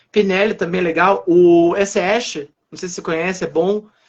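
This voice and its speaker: A man's voice at a high pitch. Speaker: French teacher. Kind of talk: casual chat. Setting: livestream. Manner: fast.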